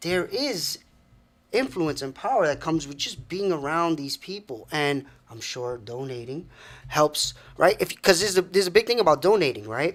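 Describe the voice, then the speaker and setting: A plain, everyday voice belongs to a man with a fairly high pitch and lively intonation. He talks at a moderate pace with big swings in loudness. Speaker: podcast co-host. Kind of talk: casual talk show conversation.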